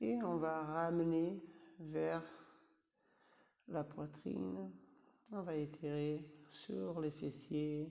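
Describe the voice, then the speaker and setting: With a non-native accent, a man speaks very slowly in a dark, mellow tone, fairly high in pitch with lively intonation, leaving long, frequent pauses amid audible room echo. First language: not French (speaking French). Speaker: yoga teacher. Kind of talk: guided yoga class. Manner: halting, with hesitations; calm, instructive.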